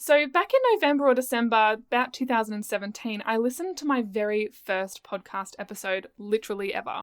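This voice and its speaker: With an Australian accent, a woman speaks at a fairly quick pace with hardly any pauses, her fairly high pitch carrying lively intonation and an animated tone on a very clean recording with a silent background. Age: 20s. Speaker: podcast host and business coach. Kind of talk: casual solo podcast monologue. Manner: chatty, animated.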